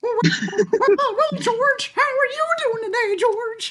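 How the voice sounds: Very slow speech comes in a put-on character voice. The pitch sits extremely high.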